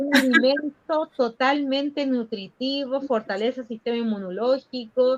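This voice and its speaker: A woman speaks with a high pitch at a fairly slow pace. Her intonation is fairly even. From northern Chile, Aymara people. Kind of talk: interview answer.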